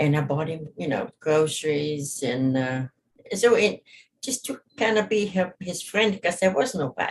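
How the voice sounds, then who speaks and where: A somewhat breathy woman with a German accent, a fairly slow pace, and very wide pitch swings. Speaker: witness in probate hearing. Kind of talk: court testimony. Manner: halting.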